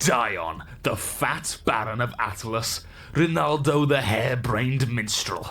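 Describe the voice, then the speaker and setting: In a put-on character voice at medium pitch, a man speaks at a fairly slow pace over light background noise. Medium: audio drama. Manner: proud, scheming.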